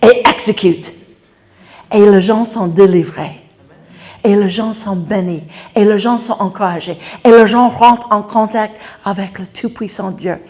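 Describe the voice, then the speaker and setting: A woman with an English accent speaks at a medium pitch and a very slow pace, with long, frequent pauses and fairly even intonation. Her loudness swings widely, and noticeable background noise is present. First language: English (speaking French). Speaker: preacher. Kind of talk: sermon.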